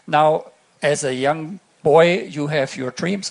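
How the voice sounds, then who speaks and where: A man speaks with a German accent at a fairly high pitch. Noticeable background noise runs under his voice. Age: 60s. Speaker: astronaut. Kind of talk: keynote speech. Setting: stage with audience. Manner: halting.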